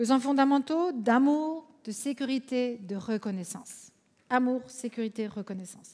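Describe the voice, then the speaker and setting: In an Alsatian accent, a woman speaks at a fairly slow pace with a high pitch, ordinary pitch variation, and big swings in loudness. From France, Alsace. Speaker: conference speaker, counselor. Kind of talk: conference talk.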